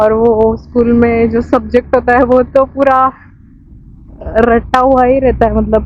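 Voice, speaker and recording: The speaker has a Marathi accent and a flat, monotone delivery. Noticeable background noise runs under the voice. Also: woman. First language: Marathi (speaking Hindi). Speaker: travel vlogger. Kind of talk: casual vlog.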